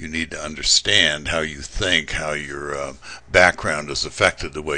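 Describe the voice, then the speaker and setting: Over noticeable background noise, the speaker talks at a moderate pace with monotone, flat intonation. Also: man. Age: 60s. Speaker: trading instructor. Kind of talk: lecture. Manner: casual, with many fillers.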